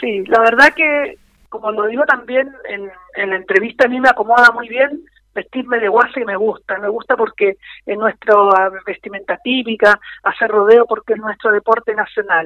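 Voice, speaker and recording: A woman's fairly high-pitched, unremarkable speaking voice, moderate in pace, with ordinary pitch variation. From Chilean Patagonia (Magallanes). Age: 50s. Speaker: former mayor and political candidate. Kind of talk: radio interview. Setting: phone call.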